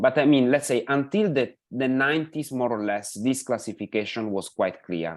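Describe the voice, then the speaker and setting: In an Italian accent, the speaker keeps a moderate pace with hardly any pauses and lively intonation, on a very clean recording with a silent background. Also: man, medium pitch for a man. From Italy. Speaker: pension policy expert. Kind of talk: lecture. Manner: halting, many fillers.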